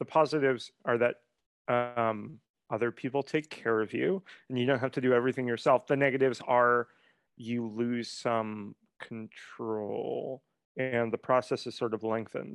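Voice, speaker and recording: A man's ordinary speaking voice, medium in pitch, with fairly even intonation at a moderate pace, in a dry, close sound with no echo and a quiet background. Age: 30s. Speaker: writing coach and memoirist. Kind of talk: casual interview conversation.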